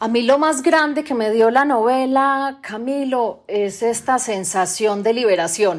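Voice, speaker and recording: A woman's unremarkable speaking voice, fairly high in pitch, with lively intonation at a fairly slow pace. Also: hardly any pauses. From Colombia, Medellín area. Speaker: novelist. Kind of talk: interview. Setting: remote recording during lockdown.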